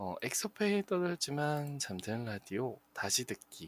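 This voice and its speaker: Very wide pitch swings from a man at medium pitch, very slow pace, dry, close sound with no echo. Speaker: internet radio host. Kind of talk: live radio show sign-off. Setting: live streamed broadcast with chat.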